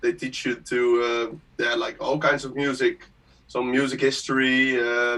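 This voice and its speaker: Here a man with a Dutch accent speaks at medium pitch. His pace is fairly slow and his intonation fairly even. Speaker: music producer. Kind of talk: interview on live stream. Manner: halting.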